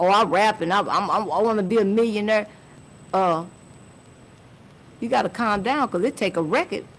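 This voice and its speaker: A woman with an American accent speaks at a moderate pace in a medium pitch, using ordinary pitch variation. Her pauses are long and frequent. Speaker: music industry manager. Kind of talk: podcast interview. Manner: casual, filler-heavy.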